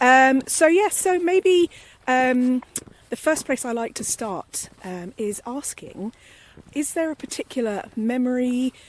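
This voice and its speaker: Recorded with a dry, close sound and no echo, a woman with a British accent speaks in a high pitch with very wide pitch swings. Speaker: podcast presenter. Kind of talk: casual podcast conversation. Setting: outdoors at dusk.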